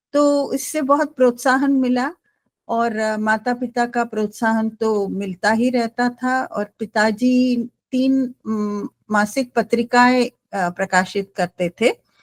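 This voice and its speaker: Recorded in a dry, close sound with no echo, a woman with a Gujarati accent speaks at a high pitch with fairly even intonation. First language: Gujarati (speaking Hindi). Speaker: writer, poet and translator. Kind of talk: panel discussion interview. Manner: hesitant with fillers.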